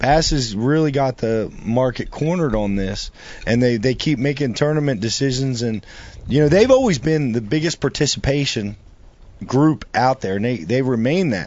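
This man speaks at a moderate pace in a plain, everyday voice of medium pitch, with ordinary pitch variation. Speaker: show co-host. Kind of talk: casual chat.

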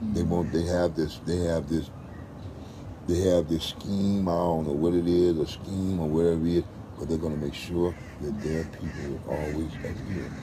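Audible room echo surrounds a man speaking at a moderate pace in a very deep, low voice with monotone, flat intonation. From West Oakland, California. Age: 50s. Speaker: street dancer. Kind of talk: interview. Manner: repetitive, halting starts.

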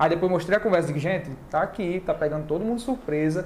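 Fairly quick speech from a man, with noticeable background noise. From Northeast Brazil (Alagoas, Maceió; also Pernambuco, Bahia). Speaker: real estate agent and video creator. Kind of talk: casual chat. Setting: online live stream.

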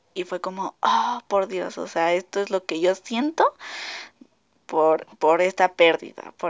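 Very slow speech from a woman, medium in pitch. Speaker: podcast host. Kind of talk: casual monologue. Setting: alone in her bedroom. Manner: halting; frequent laughter.

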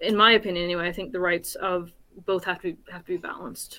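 In an American accent, a woman talks with an unremarkable speaking voice of medium pitch and fairly even intonation. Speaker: panelist. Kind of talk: panel discussion.

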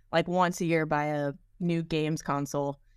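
Here is a woman with an unremarkable speaking voice and a fairly low pitch. She talks at a moderate pace with an American accent. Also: very clean recording, silent background. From US, Washington DC area. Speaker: podcaster, tech support worker. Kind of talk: casual chat.

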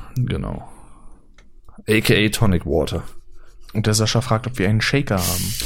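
Long, frequent pauses break up the speech of a man whose fairly low voice carries vocal fry. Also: ordinary pitch variation, moderate pace. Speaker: podcast co-host. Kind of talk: casual chat. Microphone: poor audio quality, less noise removal.

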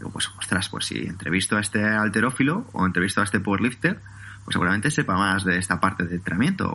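Here a man speaks at a fairly low pitch with ordinary pitch variation. He goes very fast. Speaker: personal trainer and podcaster. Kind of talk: interview. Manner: calm.

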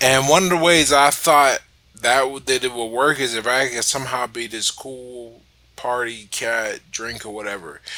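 A man's plain, everyday voice, a plain, everyday voice of medium pitch with ordinary pitch variation, big swings in loudness and a fairly slow pace. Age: 30s. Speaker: writer and social media personality. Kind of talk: casual chat.

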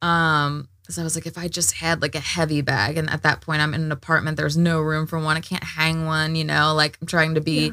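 On a very clean recording with a silent background, a woman with a very deep, low pitch and a bright, sharp tone talks at a fairly quick pace with hardly any pauses. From small town. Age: 30s. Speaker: podcast host and beauty business owner. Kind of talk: casual chat. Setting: recording studio. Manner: animated.

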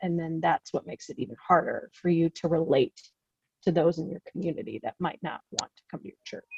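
With an American accent, a woman talks at a fairly quick pace in a fairly low pitch, with ordinary pitch variation and vocal fry. The sound is dry and close, with no echo. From US Midwest. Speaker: seminary program director. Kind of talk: casual interview.

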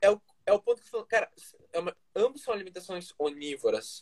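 A man at a fairly quick pace, the sound dry and close with no echo. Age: 20s. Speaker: nutrition student, former footballer. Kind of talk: casual interview chat.

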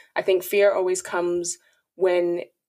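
Speaking in a Dublin accent, a woman talks at a medium pitch and a fairly slow pace. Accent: Irish (Dublin). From Ireland (Dublin), Nigerian heritage. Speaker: podcaster and account manager. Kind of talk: interview.

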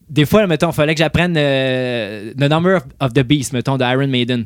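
A man talks with an ordinary speaking voice, his fairly high pitch showing ordinary variation at a moderate pace. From Quebec, Salaberry-de-Valleyfield. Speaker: DJ and rock musician. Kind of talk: casual chat.

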